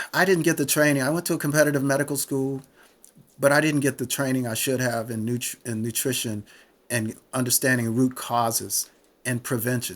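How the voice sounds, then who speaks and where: Here is an ordinary speaking voice, delivered at a fairly quick pace. The intonation is fairly even throughout. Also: man, medium pitch for a man. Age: 60s. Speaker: retired physician and author. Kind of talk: podcast interview.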